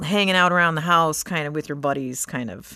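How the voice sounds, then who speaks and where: A woman speaks in a normal speaking voice with a fairly low pitch and ordinary pitch variation. The background is quiet. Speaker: podcast host and social media copywriter. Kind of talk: casual chat.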